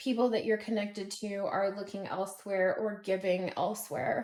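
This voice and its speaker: An ordinary speaking voice from a woman, fairly high in pitch, with fairly even intonation. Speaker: tarot reader. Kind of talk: collective tarot reading. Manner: casual with filler words.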